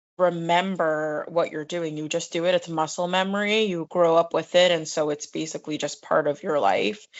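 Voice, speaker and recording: With a strong New York accent, a woman speaks at a moderate pace and a fairly low pitch. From New York City. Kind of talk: casual chat.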